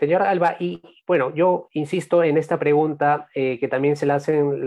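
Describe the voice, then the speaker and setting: A man speaks at a moderate pace in a fairly high pitch, with a normal speaking voice. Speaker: journalist, podcast host. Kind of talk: interview.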